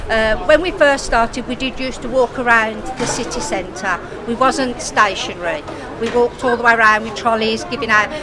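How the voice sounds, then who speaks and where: A woman speaks at a moderate pace in a fairly high voice with ordinary pitch variation. Crowd noise and audible room echo fill the background. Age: 60s. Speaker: homelessness charity founder. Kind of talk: interview.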